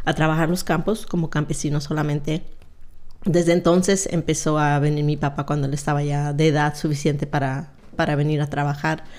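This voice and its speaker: A woman talks at a fairly quick pace with a very deep, low pitch. Her intonation stays monotone and flat. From Mexico, Zacatecas; raised in California from age 8. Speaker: retired police officer; podcast guest. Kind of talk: interview, life story. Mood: calm, reflective. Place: studio. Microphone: studio mic.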